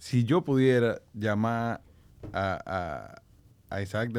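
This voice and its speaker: A man's pitch varies in an ordinary way. The recording is very clean, and the background is silent. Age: 30s. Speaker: podcast host. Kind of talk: interview.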